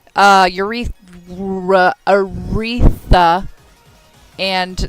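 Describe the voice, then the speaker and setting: A woman talks at a medium pitch while music plays behind her. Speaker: stream commentator. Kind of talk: live commentary. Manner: stuttering; animated.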